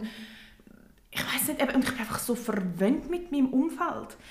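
Speaking at a fairly quick pace, a woman is heard with audible room echo and noticeable background noise. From Switzerland. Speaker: podcast co-host. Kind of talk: casual chat.

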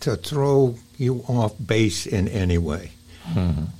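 A man talks at a very slow pace with an American accent. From Maine, US. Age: 70s. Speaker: guest interviewee. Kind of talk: casual interview conversation.

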